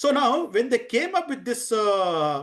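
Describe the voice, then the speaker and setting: With an Indian accent, a man speaks at an extremely high pitch for a man. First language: Hindi. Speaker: DevOps trainer. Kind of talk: lecture. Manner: halting, many fillers.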